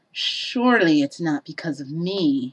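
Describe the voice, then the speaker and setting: A woman's put-on character voice, very deep and low in pitch, at a moderate pace. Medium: read story. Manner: sinister, mocking.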